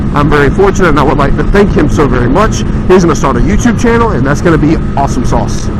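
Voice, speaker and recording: Over noticeable background noise and audible room echo, a man talks at a very fast pace with fairly high pitch, lively intonation and very even loudness. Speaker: motorcycle vlogger. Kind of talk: casual vlog review while riding. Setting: outdoors on a motorcycle. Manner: loud, near yelling; casual, halting with fillers.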